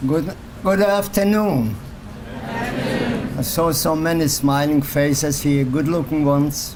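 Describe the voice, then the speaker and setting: Speaking at a very slow pace, a man keeps his loudness very even at a fairly high pitch. Audible room echo and noticeable background noise fill the recording. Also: lively intonation. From Poland. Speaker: Holocaust survivor speaker. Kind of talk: personal testimony talk. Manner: halting, repetitive phrasing.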